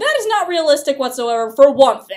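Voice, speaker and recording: With an animated tone and very wide pitch swings, a woman speaks at a moderate pace. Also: quiet background. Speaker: college student vlogger. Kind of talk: casual vlog rant. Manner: animated, exasperated. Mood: exasperated critique. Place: meeting room. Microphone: webcam.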